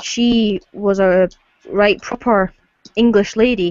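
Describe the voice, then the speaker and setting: A woman of medium pitch talks with monotone, flat intonation. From Scotland. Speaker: YouTuber, card game channel host. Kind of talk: casual livestream chat. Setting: live video hangout. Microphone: computer webcam, poor video quality.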